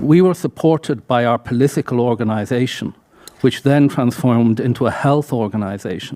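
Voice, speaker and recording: Here a man talks at a fairly quick pace with an Irish accent. His pitch sits in the medium range. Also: ordinary pitch variation. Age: 60s. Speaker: audience member, HIV activist. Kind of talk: audience comment.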